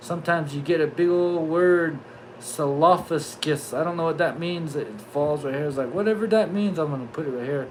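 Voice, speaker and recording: With a Southwestern US accent, a man speaks in a high pitch with ordinary pitch variation, amid noticeable background noise and audible room echo. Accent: Navajo-accented English. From Navajo Nation, US Southwest. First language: Navajo. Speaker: YouTuber, livestream host. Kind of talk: casual livestream chat. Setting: live stream. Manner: animated, joking.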